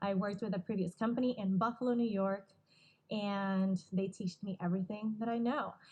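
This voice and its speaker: A woman's somewhat breathy voice holds a medium pitch, fairly even intonation and very even loudness. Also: moderate pace. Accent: Puerto Rican. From Puerto Rico. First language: Spanish. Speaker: wedding videographer. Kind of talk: casual interview.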